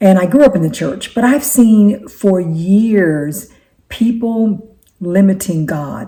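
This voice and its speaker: A woman's somewhat breathy voice at medium pitch, dark and mellow in tone, with lively intonation at a very slow pace. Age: 60s. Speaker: faith-based life coach and YouTuber. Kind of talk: casual talk to camera. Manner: halting, with frequent repetitions.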